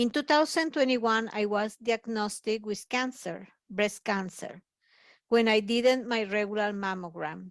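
A woman with an unremarkable speaking voice talks at a fairly slow pace and fairly high pitch, with ordinary pitch variation. The sound is dry and close with no echo, over a quiet background. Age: 60s. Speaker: personal support worker. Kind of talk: testimony. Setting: pre-recorded video message.

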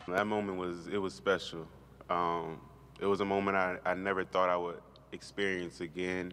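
A man with a very deep, low pitch speaks in a monotone, flat intonation. His pace is moderate over light background noise. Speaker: college football player. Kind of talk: press interview. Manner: halting. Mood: reflective, somber yet hopeful. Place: hall. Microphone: podium.

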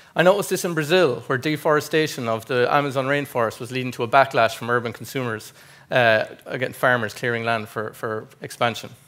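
Speech in an Irish Midlands accent comes at a very fast pace with ordinary pitch variation. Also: man, medium pitch for a man. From Ireland, County Westmeath; Ireland. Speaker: agribusiness specialist presenting research; conference presenter. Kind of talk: conference presentation. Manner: formal. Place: hall.

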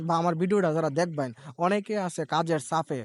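Dry, close sound without echo, the pitch moving in an ordinary way. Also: man. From Brahmanbaria, Bangladesh. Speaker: vlogger. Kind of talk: walking vlog narration. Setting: outdoors at a fair. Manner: casual, rambling.

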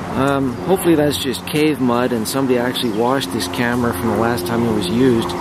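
The pace is fairly quick. Noticeable background noise sits behind the speech. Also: dry sound with no echo. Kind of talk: casual vlog chat. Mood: jokey, excited. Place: forest. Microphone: phone near.

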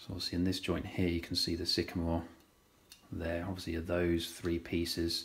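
The man's delivery keeps to a moderate pace. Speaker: woodworking tutor. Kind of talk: tutorial. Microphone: phone near.

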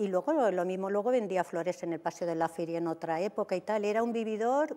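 The woman's tone is dark and mellow. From Albacete, Spain; Spain. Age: 60s. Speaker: TV dating show guest; TV guest. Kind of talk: TV interview, personal life story. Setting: TV studio. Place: studio. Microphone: lapel.

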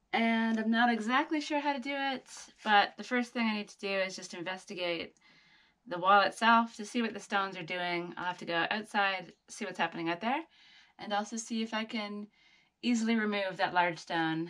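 A woman's bright, sharp voice at a moderate pace, with long, frequent pauses, ordinary pitch variation and big swings in loudness. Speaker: DIY builder vlogger. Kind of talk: casual vlog chat. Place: home room. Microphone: phone near.

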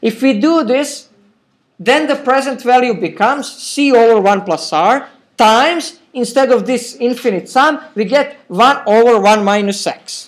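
A man's extremely high voice in an Eastern European accent, at a fairly slow pace. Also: ordinary pitch variation. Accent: Slavic. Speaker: university professor. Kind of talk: recorded university lecture. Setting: classroom.

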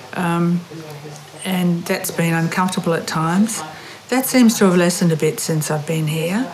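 A woman's fairly low voice at a fairly slow pace, with ordinary pitch variation and noticeable background noise. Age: 70s. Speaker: retreat participant. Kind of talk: interview.

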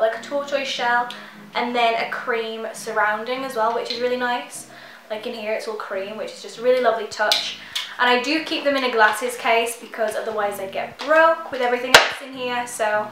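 Over noticeable background noise and audible room echo, a woman with a high pitch speaks with fairly even intonation. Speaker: beauty vlogger. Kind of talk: casual vlog chat. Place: home room.

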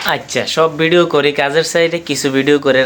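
Noticeable background noise sits behind a man speaking with a Comilla accent. His intonation stays fairly even. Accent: Comilla regional Bengali. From Bangladesh, Comilla. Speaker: vlogger. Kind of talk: motivational talk to camera. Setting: indoors, sitting on a bed in his room.

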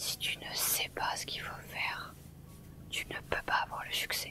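Whispering, a woman speaks in a relaxed tone. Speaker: ASMR streamer and gamer. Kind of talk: ASMR whispered gameplay commentary, live stream excerpt. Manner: soft, whispered, relaxed.

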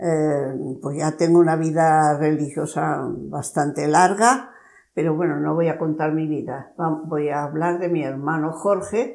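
Against a quiet background, a woman talks fairly slowly in a very deep, low voice with ordinary pitch variation. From Spain. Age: 90s. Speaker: nun; interviewee. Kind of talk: interview. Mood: warm, cheerful reminiscing. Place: home room. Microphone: lapel.

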